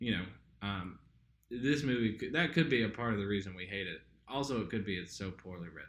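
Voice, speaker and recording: A man with a slight Southern US accent, heard with audible room echo. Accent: slight Southern drawl. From southern Indiana. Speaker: podcast co-host. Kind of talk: casual chat. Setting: apartment home recording. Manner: casual, hesitant with fillers.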